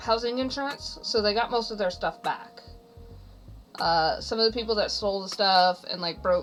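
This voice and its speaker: A woman's fairly high voice over background music. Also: ordinary pitch variation, moderate pace. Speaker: streamer. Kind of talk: casual chat. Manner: loud.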